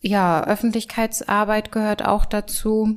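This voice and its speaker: A woman is speaking. Her pace is fairly slow. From Mecklenburg, northern Germany. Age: 30s. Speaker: farmers' association manager. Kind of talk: interview. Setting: office. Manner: halting.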